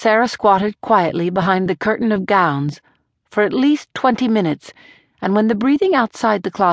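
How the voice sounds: The reading voice sounds natural. Behind it, the background stays quiet.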